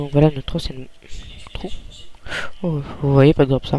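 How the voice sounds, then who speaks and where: A man speaks at a fairly slow pace with a fairly high pitch and fairly even intonation, over noticeable background noise. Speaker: gaming youtuber. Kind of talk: let's play commentary. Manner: quiet, calm; hesitant, many fillers. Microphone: too quiet.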